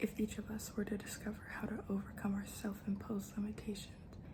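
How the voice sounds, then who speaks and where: A soft-spoken woman at a medium pitch, flat and monotone, at a fairly quick pace over noticeable background noise. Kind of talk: ASMR book reading.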